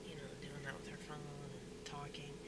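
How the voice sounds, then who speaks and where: Loud background noise behind a woman with a Southern US accent at a moderate pace. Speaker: stand-up comedian and restaurant worker. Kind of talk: casual vlog monologue. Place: car. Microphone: phone near.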